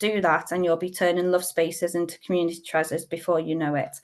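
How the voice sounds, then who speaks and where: A woman's fairly low voice, fairly quick and monotone with flat intonation, against a quiet background. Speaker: community council presenter. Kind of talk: webinar presentation. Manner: fast.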